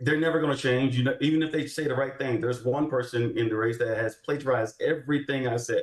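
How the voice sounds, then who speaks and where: This man has a Texan accent and an animated tone. He speaks at a fairly quick pace. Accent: Texan American. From Texas, Houston. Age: 30s. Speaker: army veteran and political candidate. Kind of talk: panel interview on live show.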